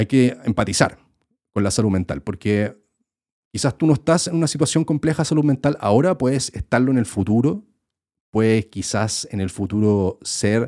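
A man with a Chilean accent speaks at a moderate pace with lively intonation and a dark, mellow tone. The very clean recording has a silent background and a dry, close sound with no echo. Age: 30s. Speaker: YouTuber and podcast host. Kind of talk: casual solo podcast monologue. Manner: casual, filler-heavy with repetitions.

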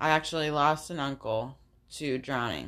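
The voice carries vocal fry and ordinary pitch variation against a quiet background. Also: woman. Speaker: podcast co-host and salon employee. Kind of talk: casual chat. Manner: shaky voice when emotional.

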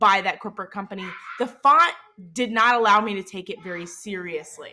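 With an American accent, a woman speaks in an animated tone that sounds bright and sharp. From US South, Mississippi. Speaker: podcast host, social media marketer. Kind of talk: solo podcast tutorial.

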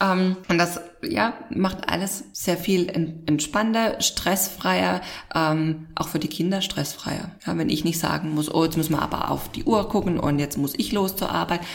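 A woman with a fairly low pitch and ordinary pitch variation at a fairly slow pace, with noticeable background noise. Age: 30s. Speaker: podcast host. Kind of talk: casual chat.

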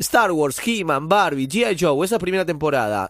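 A man speaks at a very fast pace in a high pitch, his tone animated and his intonation lively. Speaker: radio host. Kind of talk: live radio show.

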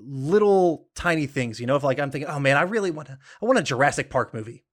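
A man with an American accent uses a normal speaking voice, fairly high in pitch, with ordinary pitch variation. The recording is very clean, with a silent background. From Georgia, US South. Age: 30s. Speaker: trivia podcast host. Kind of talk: casual chat.

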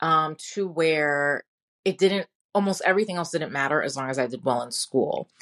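A woman at a fairly low pitch with an American accent, a moderate pace, and lively intonation. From New York City (Brooklyn). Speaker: podcast host and former teacher in recovery. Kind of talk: personal testimony monologue. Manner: casual, conversational.

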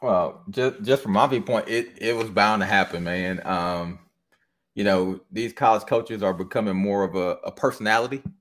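A man with an American accent, a normal speaking voice, fairly low pitch and ordinary pitch variation, at a moderate pace on a very clean recording with a silent background. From Michigan. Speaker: podcast host guest. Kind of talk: casual chat.

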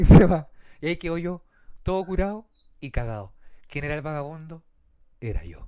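A man talks at a moderate pace in a fairly high pitch with lively intonation. His loudness swings widely between long, frequent pauses. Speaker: podcast host and streamer. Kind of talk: casual chat. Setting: live stream.

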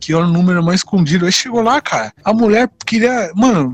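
The man's pitch sits high. He talks at a fairly quick pace. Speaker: podcast host. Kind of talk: casual chat.

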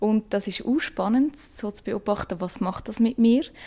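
Her voice is a plain, everyday voice, a woman of medium pitch with ordinary pitch variation. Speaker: podcaster and co-creator. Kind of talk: casual chat.

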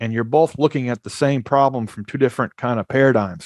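Against a quiet background, a man with an American accent uses a plain, everyday voice at medium pitch with ordinary pitch variation, in a dry, close sound with no echo. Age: 40s. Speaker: startup founder. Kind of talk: podcast interview. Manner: fast, with many repeated words.

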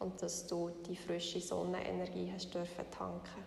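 Against noticeable background noise, a woman speaks in a calm, soothing tone. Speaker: meditation guide podcaster. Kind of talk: guided meditation. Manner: slow, calm, soothing, gently paced with long pauses.

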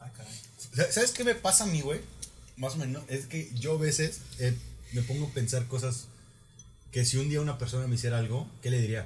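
Audible room echo follows a somewhat breathy man who talks at a moderate pace with long, frequent pauses. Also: medium pitch for a man, ordinary pitch variation. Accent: Mexican. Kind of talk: casual chat.

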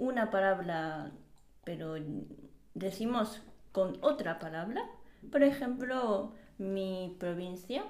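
With audible room echo, a woman of medium pitch talks at a very slow pace, using lively intonation, big swings in loudness and long, frequent pauses. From Japan. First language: Japanese (speaking Spanish). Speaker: podcast co-host. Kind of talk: casual chat. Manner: halting.

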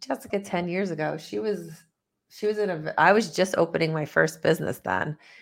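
On a very clean recording with a silent background, a woman with a Northeastern US accent speaks at a moderate pace and fairly low pitch, with ordinary pitch variation. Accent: Northeast US, tri-state. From US Northeast, tri-state area. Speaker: business CEO, author, speaker. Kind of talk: interview conversation. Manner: passionate, excited.

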